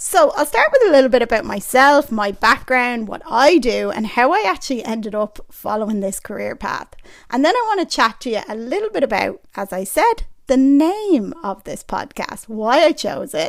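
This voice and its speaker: A woman with an Irish accent, high-pitched, at a moderate pace with hardly any pauses, very wide pitch swings and big swings in loudness, on a very clean recording with a silent background. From Ireland. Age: 30s. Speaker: personal trainer and podcast host. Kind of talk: podcast monologue. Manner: casual, chatty.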